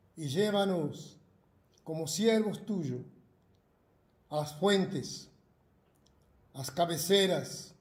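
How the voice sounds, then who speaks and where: Very slow delivery with long, frequent pauses, ordinary pitch variation, big swings in loudness, and audible room echo. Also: man, high pitch for a man. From Argentina. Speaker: pastor. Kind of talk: prayer. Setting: video broadcast. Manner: halting.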